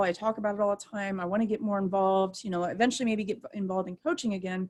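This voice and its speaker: At a very fast pace, a woman with a Midwestern US accent talks in a medium pitch. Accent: US Midwest. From Ohio, Akron. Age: 30s. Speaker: softball umpire. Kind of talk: interview.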